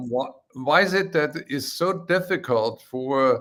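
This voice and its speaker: Male voice with a German accent. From Austria. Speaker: live stream host. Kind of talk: live stream interview.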